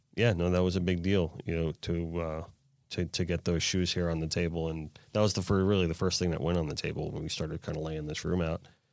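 At a fairly quick pace, a man talks with a very deep, low pitch and monotone, flat intonation on a very clean recording with a silent background. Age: 40s. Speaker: podcast host. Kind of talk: casual chat. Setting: studio.

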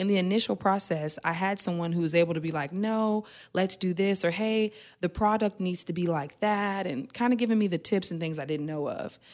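A woman talks at a fairly quick pace in a normal speaking voice of medium pitch. Her pitch variation is ordinary, and the recording is very clean with a silent background. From Oklahoma, Tulsa. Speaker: beauty entrepreneur. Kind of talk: interview. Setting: studio.

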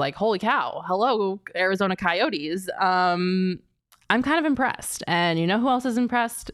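A woman speaks at a moderate pace and medium pitch. Her tone is animated and her intonation lively. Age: 20s. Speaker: sports podcast host. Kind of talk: casual sports talk.

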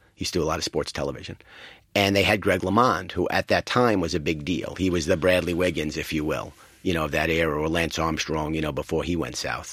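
A man speaks at a very fast pace in a New York accent. His pitch is very deep and low. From New York City. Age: 50s. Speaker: advertising executive. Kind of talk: interview. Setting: studio.

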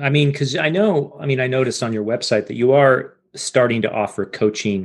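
The speaker has a normal speaking voice at a moderate pace. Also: man. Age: 40s. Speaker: podcast host. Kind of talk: interview. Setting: video call.

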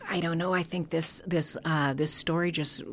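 A woman's very deep, low voice with an American accent, over noticeable background noise. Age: 60s. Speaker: foster care advocate and village founder. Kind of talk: interview. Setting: on location.

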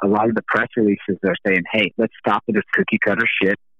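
An American-accented man with a normal speaking voice, medium pitch, and moderate pace. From US South, Atlanta, Georgia. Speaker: rock musician. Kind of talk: interview.

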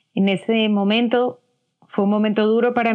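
A woman with a plain, everyday voice, fairly even intonation and a moderate pace. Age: 40s. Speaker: weight management coach. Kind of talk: interview.

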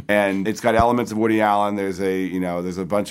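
A man speaks in a flat monotone at a fairly low pitch. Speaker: entertainment magazine editor. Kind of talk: casual discussion. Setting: film festival.

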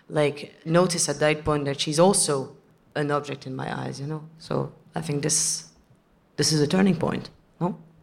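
Very deep and low in pitch, a woman speaks with a French accent. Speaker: actress. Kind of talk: Q and A panel.

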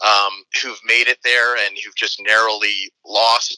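In a dry, close sound with no echo, a man is heard speaking. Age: 40s. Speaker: sports blogger. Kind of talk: interview. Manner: halting.

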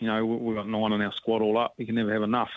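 A man is speaking. He has a New Zealand accent. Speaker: rugby coach. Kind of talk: radio interview.

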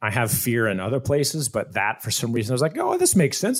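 In a very clean recording with a silent background, a man with an unremarkable speaking voice and an American accent talks at a moderate pace with ordinary pitch variation. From Iowa, near Des Moines. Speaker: actor. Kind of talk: casual interview chat.

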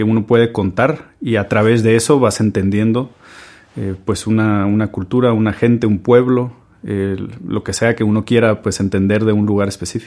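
This is a man with a normal speaking voice. His pitch is fairly low and his pace moderate. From Guatemala. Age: 30s. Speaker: chef. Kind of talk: storytelling monologue.

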